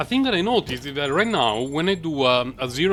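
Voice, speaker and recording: A man with a non-native accent speaks at a fairly high pitch, his voice making very wide pitch swings. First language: not English. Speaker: gaming content creator. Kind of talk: gameplay commentary. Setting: recorded voice-over after the fact. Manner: halting, many fillers; casual, relaxed.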